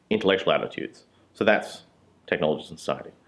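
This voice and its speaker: Music plays in the background as a man speaks with an Australian accent. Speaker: university lecturer. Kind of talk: interview talk. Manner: casual, with hesitations.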